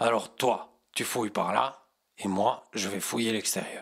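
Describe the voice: Using a raspy, put-on character voice, a man speaks at a moderate pace in a medium pitch with fairly even intonation.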